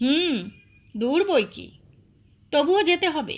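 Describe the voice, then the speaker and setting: In a put-on character voice, a woman talks at a high pitch. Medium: audio drama.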